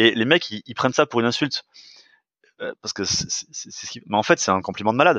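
Lively intonation marks this man's very fast speech at a medium pitch. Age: 40s. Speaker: fitness coach and sports nutrition entrepreneur. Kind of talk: casual interview conversation. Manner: hesitant, many fillers and restarts.

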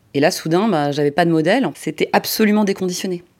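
A woman's fairly low voice at a fairly quick pace, ordinary pitch variation, on a very clean recording with a silent background. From provincial France. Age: 40s. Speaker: interviewee sharing personal story. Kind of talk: testimony. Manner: halting.

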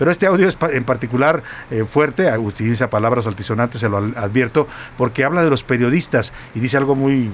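A man speaks in an ordinary speaking voice at a medium pitch. His pace is fairly quick, with ordinary pitch variation. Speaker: radio news host. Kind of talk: radio news show. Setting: radio studio.

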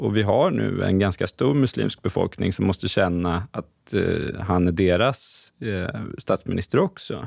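Speaking at a fairly slow pace with hardly any pauses, a man with a very deep, low pitch, vocal fry and lively intonation comes through dry and close, with no echo, on a very clean recording with a silent background. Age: 30s. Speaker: journalist. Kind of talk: casual chat.

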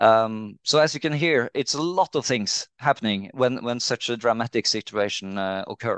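The speaker has a Norwegian accent, a moderate pace, ordinary pitch variation and hardly any pauses. The sound is dry and close with no echo, and the background is quiet. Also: man, medium pitch for a man. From Norway, Trondheim. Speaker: CEO of a marine insurer. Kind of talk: interview. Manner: hesitant, many fillers.

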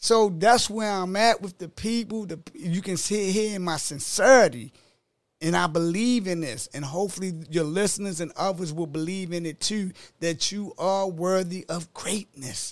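A man speaks in a Baltimore accent at a high pitch and moderate pace. His intonation is lively, and the recording is very clean with a silent background. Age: 50s. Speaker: author and life coach. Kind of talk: casual interview chat.

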